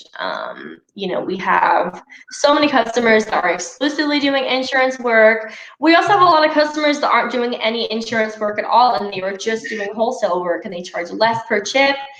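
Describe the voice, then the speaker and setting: Over noticeable background noise, a woman with a fairly high voice speaks at a fairly quick pace and with lively intonation. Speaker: glass repair trainer. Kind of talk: live webinar Q&A.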